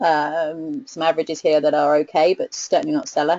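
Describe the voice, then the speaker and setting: This woman speaks with a British accent. Her intonation is lively. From UK. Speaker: research analyst presenting a webinar. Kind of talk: webinar presentation. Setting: online webinar. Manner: hesitant, with many fillers and repetitions.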